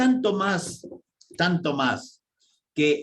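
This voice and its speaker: Very slow and full of vocal fry, a man's speech carries lively intonation. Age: 70s. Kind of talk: radio catechesis talk.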